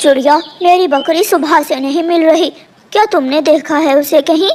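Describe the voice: The clip is a cartoonish character voice pitched high. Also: moderate pace.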